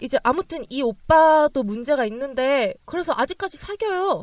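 A woman speaks with a high pitch and lively intonation. The sound is dry and close, with no echo. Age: 20s. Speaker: podcast co-host, job seeker. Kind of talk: casual chat.

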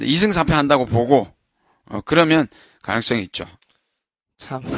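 Against a quiet background, a man with medium pitch talks at a moderate pace and lively intonation. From Busan, South Korea. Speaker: baseball podcast co-host. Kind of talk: casual chat.

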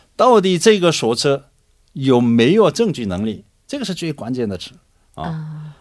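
Speaking at a fairly slow pace with a Korean accent, a man at a medium pitch moves through very wide pitch swings. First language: Korean (speaking Chinese). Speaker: lawyer. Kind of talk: radio panel discussion. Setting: studio. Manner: halting, many fillers.

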